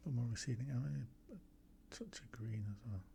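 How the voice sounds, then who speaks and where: Dark and mellow in tone, a man speaks with an English accent and ordinary pitch variation. His voice is somewhat breathy. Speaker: amateur watercolour painter. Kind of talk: painting tutorial with running commentary. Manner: casual, thinking aloud.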